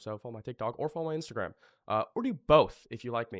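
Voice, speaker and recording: Over a very clean recording with a silent background and a dry, close sound without echo, a man talks at a very fast pace with ordinary pitch variation. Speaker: online business course creator. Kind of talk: tutorial. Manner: casual, filler-heavy.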